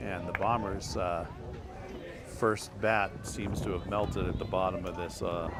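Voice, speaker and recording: Speaking fairly slowly with fairly even intonation, a man with a very deep, low pitch is heard amid audible room echo. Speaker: amateur sports commentator. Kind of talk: live commentary. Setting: outdoors at a baseball field. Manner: casual, hesitant with many fillers.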